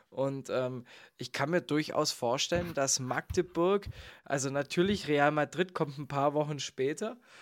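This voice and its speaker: With a normal speaking voice, a man talks at a moderate pace with a fairly high pitch and ordinary pitch variation, recorded dry and close with no echo on a very clean track with a silent background. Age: 20s. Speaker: podcast host. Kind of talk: casual chat.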